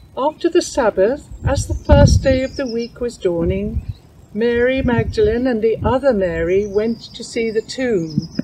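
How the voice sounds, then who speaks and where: Fairly slow speech with lively intonation over noticeable background noise. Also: woman, fairly high pitch for a woman. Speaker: scripture reader. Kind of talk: reading aloud.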